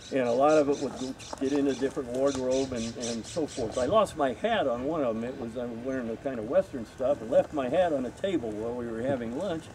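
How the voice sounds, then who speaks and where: Speaking at a very fast pace, a man is heard with noticeable background noise. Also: medium pitch for a man, ordinary pitch variation, hardly any pauses. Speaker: former film crew member and extra. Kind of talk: panel Q&A storytelling. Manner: loud.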